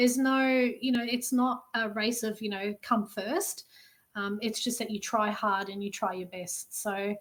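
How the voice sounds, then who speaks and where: A woman's fairly high voice in an Australian accent, fairly even in intonation and fairly slow in pace, on a very clean recording with a silent background. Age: 40s. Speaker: army reserve recruit. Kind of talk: casual interview chat.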